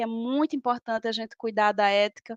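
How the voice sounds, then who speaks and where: With a northeastern Brazilian accent, a woman speaks at a moderate pace in a fairly high pitch with fairly even intonation, in a dry, close sound with no echo. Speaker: professor and lecturer. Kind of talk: lecture.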